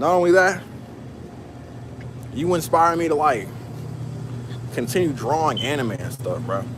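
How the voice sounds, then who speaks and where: A man's voice at a moderate pace, ordinary pitch variation, with room echo audible and background noise noticeable. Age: 20s. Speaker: live streamer. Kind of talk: casual live stream chat while working. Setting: at work in a warehouse.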